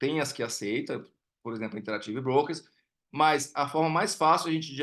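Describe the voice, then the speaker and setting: Against a quiet background, a bright, sharp voice moves at a very fast pace. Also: man. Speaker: investment educator. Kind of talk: live online class with Q&A. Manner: halting, many fillers and repetitions.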